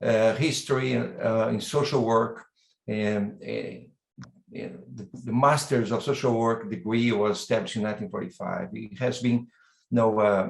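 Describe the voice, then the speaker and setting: With a Brazilian accent, a man talks at a fairly slow pace. His pitch sits in the medium range. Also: ordinary pitch variation. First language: Portuguese. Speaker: university dean and professor. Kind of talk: welcome address. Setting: online video event. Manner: halting, with repetitions.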